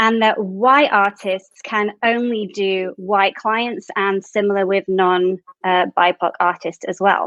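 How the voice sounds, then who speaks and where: With hardly any pauses, a woman with a British accent speaks at a very slow pace, her medium-pitched voice having fairly even intonation and a dry, close sound with no echo. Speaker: panel moderator. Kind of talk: panel discussion.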